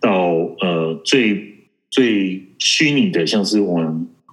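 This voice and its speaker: Pitch varies in an ordinary way, and some room echo can be heard. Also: man. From Taiwan. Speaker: network engineer. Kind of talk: interview. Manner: halting.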